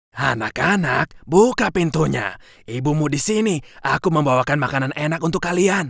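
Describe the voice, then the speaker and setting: A man does a put-on character voice that is hoarse and fairly high in pitch, delivered at a moderate pace. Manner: deceptive, disguising voice.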